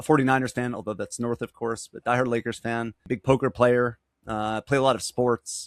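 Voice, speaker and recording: The delivery moves at a fairly quick pace with ordinary pitch variation. The sound is dry and close, with no echo. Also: man. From New York, Long Island. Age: 40s. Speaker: business advisor. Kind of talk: interview. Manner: fast.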